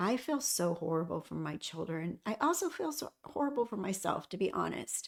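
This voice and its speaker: A woman at a moderate pace, with hardly any pauses. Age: 60s. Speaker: hospice nurse and lifestyle vlogger. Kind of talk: casual personal vlog talk.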